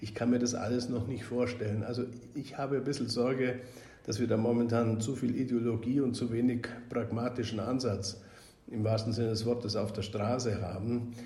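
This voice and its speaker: A man speaks at a moderate pace in a dark, mellow, somewhat breathy tone. His intonation is monotone and flat, and there is audible room echo. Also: medium pitch for a man. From Bavaria, Augsburg (Swabia). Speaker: member of European Parliament. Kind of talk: podcast interview.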